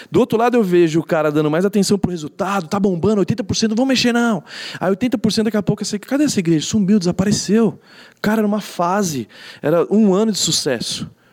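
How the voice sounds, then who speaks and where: At a fairly quick pace, a man talks in a high pitch with ordinary pitch variation and very even loudness. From São Paulo, Brazil (east zone). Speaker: pastor. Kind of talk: casual interview.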